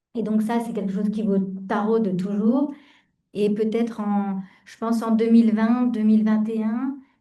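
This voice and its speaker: Slowly and in a flat monotone, a woman speaks at a fairly high pitch. Her tone is dark and mellow. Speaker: founder of a closed business. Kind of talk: panel discussion. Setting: round table with audience and video participants. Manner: loud; hesitant, many fillers.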